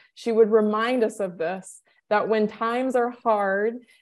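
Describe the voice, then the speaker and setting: In a very clean recording with a silent background, a woman speaks fairly slowly at a fairly high pitch with fairly even intonation. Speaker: guest instructor. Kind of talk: testimony; lecture.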